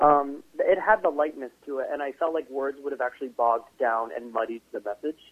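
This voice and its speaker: With an American accent and a plain, everyday voice, a man talks at a fairly quick pace with hardly any pauses, using a fairly high pitch and ordinary pitch variation. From Connecticut, US. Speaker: singer-songwriter. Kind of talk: interview.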